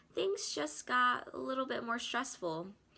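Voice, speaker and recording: Bright and sharp in tone, the voice moves at a fairly slow pace with very wide pitch swings and a playful, upbeat tone. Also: woman. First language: Korean. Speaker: student. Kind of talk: scripted narration.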